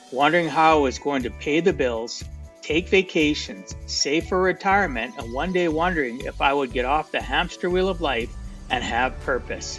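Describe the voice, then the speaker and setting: Music plays in the background as a man speaks at a moderate pace. His voice is fairly high, with lively intonation. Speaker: podcast host. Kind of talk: podcast intro monologue.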